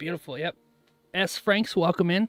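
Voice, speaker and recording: A man speaks with music playing in the background. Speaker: day trader streamer. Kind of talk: live trading stream commentary. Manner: animated.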